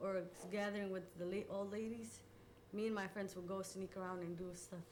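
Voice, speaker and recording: Amid noticeable background noise and audible room echo, a woman talks fairly quickly with monotone, flat intonation. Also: medium pitch for a woman. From Somalia. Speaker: oral history interviewee. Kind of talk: interview. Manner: halting.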